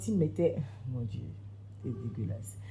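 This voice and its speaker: A woman's somewhat breathy voice, dark and mellow in tone, carries lively intonation amid audible room echo. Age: 20s. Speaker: event planner. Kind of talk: testimony.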